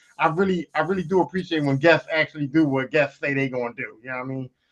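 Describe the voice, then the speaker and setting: A man at a very fast pace. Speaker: podcast co-host. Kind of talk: casual chat. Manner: loud.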